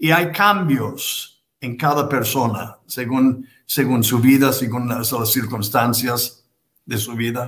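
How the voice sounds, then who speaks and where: A man talks at a very slow pace in a medium pitch. His pitch varies in an ordinary way over a quiet background. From United States. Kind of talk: interview conversation. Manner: halting, repeats words. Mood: reflective, calm. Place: home room.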